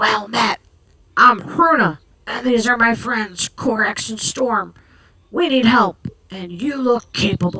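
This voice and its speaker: Putting on a raspy character voice, a woman with a fairly high pitch talks at a fairly slow pace, leaving long, frequent pauses. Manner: muffled by woolen scarf.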